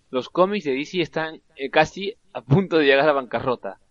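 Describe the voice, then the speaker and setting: Using an unremarkable speaking voice, a man delivers his words at a moderate pace and with ordinary pitch variation. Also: dry, close sound with no echo. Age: 20s. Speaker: film podcast co-host. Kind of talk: casual chat.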